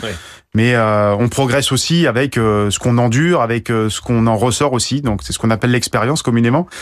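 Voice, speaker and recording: Talking at a very fast pace, a man uses a medium pitch and ordinary pitch variation. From Guadeloupe. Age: 40s. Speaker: professional sailor. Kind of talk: radio interview. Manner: halting, frequent hesitations.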